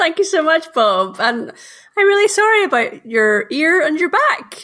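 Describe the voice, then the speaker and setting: A woman with a Northern Irish accent projects a raised voice at an extremely high pitch, with very wide pitch swings, very even loudness, and a moderate pace. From Northern Ireland. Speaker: marketing consultant. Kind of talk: casual interview.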